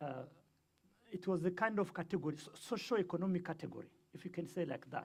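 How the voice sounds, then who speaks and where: Speaking at a very fast pace with a Rwandan accent, a man uses a high pitch, ordinary pitch variation, big swings in loudness and long, frequent pauses. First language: Kinyarwanda. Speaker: guest speaker on the Rwandan genocide. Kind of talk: lecture. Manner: halting, many fillers.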